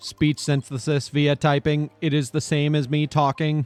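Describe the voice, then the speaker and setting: Putting on a robotic character voice, a man speaks at a moderate pace with a fairly high pitch and monotone, flat intonation. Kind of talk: flat, mechanical.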